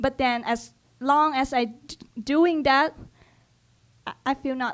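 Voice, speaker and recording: On a very clean recording with a silent background, a woman with a high pitch speaks at a fairly slow pace with ordinary pitch variation. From Cambodia. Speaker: English language student. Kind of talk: personal storytelling talk. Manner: halting, with repeated words.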